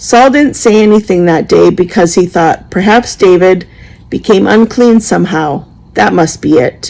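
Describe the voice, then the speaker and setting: In a raspy put-on character voice, a woman speaks at medium pitch and a moderate pace with lively intonation and very even loudness. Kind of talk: scripture reading. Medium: solo performance. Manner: earnest, plain.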